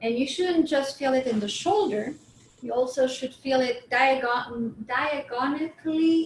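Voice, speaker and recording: A woman with a non-native accent speaks in a calm tone at a high pitch. Her pace is fairly slow, with ordinary pitch variation. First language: not English. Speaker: movement and chair yoga instructor. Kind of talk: guided exercise class. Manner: calm, instructional.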